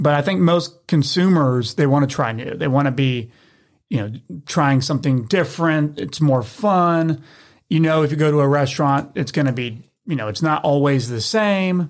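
The speaker has a Tennessee accent, ordinary pitch variation and a moderate pace. The recording is very clean with a silent background. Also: man, fairly high pitch for a man. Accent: US Southern (Tennessee). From Memphis, Tennessee. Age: 20s. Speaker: brewery founder and brewer. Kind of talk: casual interview chat.

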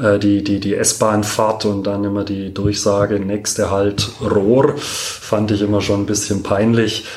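A man speaks at a fairly slow pace in a fairly low, monotone, flat voice. Noticeable background noise and audible room echo come through. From Stuttgart, Germany. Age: 40s. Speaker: doctor and former goalkeeper. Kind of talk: interview. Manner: hesitant with many fillers.

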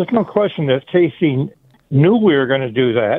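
An unremarkable speaking voice from a man, fairly high in pitch, at a moderate pace. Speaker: caller. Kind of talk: radio call-in. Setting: phone call.

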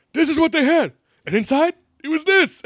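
A put-on character voice, gruff and high-pitched, moves at a fairly quick pace. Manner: crotchety, gruff.

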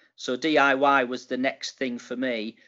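In a Teesside accent, a man with a medium pitch speaks at a fairly slow pace. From Middlesbrough, northeast England. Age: 50s. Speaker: retired retail executive. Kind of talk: casual interview. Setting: call.

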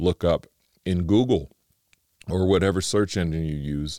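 On a very clean recording with a silent background, a man with a very deep, low pitch sounds dry and close, with no echo. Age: 50s. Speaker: podcast host and ministry leader. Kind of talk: casual monologue. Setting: studio. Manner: animated.

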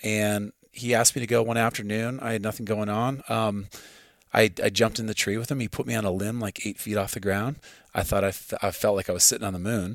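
A man's fairly low voice with a Midwestern American accent, fairly quick pace and fairly even intonation, on a very clean recording with a silent background. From US Midwest, farm. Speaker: hunter and archer. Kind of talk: casual chat. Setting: at his home.

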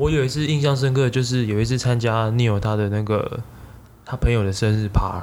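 A man talking at a fairly quick pace, with audible room echo. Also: medium pitch for a man, ordinary pitch variation. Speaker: tech marketing product manager. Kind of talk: casual chat. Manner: animated.

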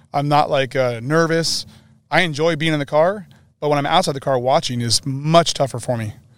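In a very clean recording with a silent background, a man with an American accent talks at a fairly quick pace in a fairly high pitch, a plain, everyday voice. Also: ordinary pitch variation. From Northern California. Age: 40s. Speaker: race car fabricator. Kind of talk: casual interview. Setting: outdoors at a desert race event.

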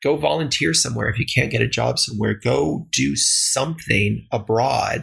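A man with an American accent at a moderate pace, hardly any pauses, very even loudness, and noticeable background noise. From Texas, El Paso. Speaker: government finance director. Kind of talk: interview. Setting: home basement studio.

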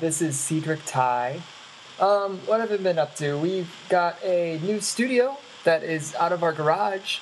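A woman with a normal speaking voice talks at a fairly slow pace. Her intonation is lively. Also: fairly low pitch for a woman. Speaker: previous guest calling in.

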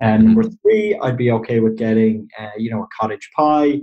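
With an Irish accent, a man talks at a fairly quick pace in a dark, mellow, somewhat breathy tone, his pitch swinging very widely. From Ireland. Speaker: Irish political guest. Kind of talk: casual explanatory interview.

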